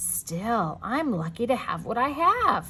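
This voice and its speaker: A woman does a put-on character voice at a fairly high pitch and a fairly slow pace against clear background noise. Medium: read story.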